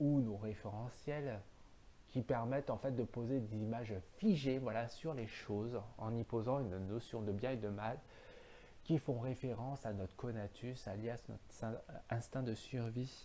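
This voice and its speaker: A dark, mellow tone with fairly even intonation at a fairly slow pace. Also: man, medium pitch for a man. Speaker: philosophy video host. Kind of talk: solo philosophical monologue. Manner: halting, many fillers.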